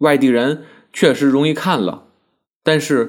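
At a very slow pace, the speech comes through on a very clean recording with a silent background. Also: man. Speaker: essayist. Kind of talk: essay reading.

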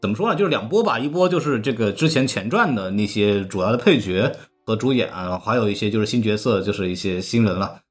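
Music plays in the background. The speech moves at a fairly quick pace with lively intonation. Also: man, medium pitch for a man. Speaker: podcast host. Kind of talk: casual chat. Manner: animated.

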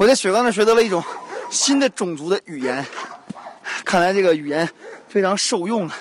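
A man with a high-pitched voice, lively intonation and an animated tone, a fairly quick pace broken by long, frequent pauses, and noticeable background noise. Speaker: radio host. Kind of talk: casual travel commentary. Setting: outdoors on a mountain.

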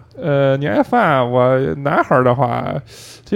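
A man speaks over noticeable background noise. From Shandong, southern mountain area. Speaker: podcast co-host. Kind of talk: casual chat. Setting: karaoke room.

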